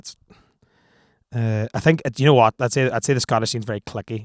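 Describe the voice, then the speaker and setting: In a very clean recording with a silent background and a dry, close sound with no echo, a man with an Irish accent speaks at a fairly quick pace with ordinary pitch variation. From Ireland. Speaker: band frontman. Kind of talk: interview. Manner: halting.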